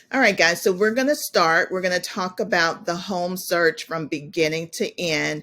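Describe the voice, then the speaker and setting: A woman's bright, sharp voice with an American accent, fairly low in pitch, with lively intonation, a moderate pace and hardly any pauses. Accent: Southern US, comes out at times. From US South, South Georgia. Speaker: realtor. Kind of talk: webinar presentation.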